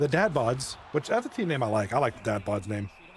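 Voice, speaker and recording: Noticeable background noise is audible as a man speaks at a fairly quick clip. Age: 40s. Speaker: esports hockey league commentator. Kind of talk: live commentary. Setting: livestream.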